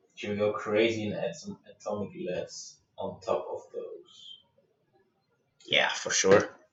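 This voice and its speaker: A man with a German accent, at a fairly slow pace with long, frequent pauses. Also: big swings in loudness. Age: 20s. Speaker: stagehand and lighting designer streamer. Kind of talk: livestream software tutorial. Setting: livestream.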